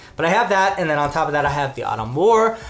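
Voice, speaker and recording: Audible room echo surrounds a man talking at a very fast pace. His pitch variation is ordinary. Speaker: book youtuber. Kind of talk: casual book haul talk.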